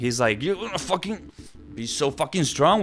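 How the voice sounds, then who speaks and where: Noticeable background noise accompanies a man whose voice swings very widely in pitch. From Argentina. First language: Spanish. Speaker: singing course creator. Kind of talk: casual commentary video.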